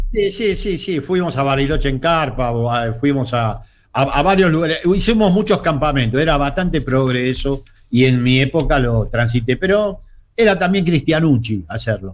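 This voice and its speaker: Speaking at a moderate pace with an Argentine accent, a man uses lively intonation at a fairly high pitch. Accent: Rioplatense Argentine Spanish. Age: 60s. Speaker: political analyst. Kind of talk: casual interview.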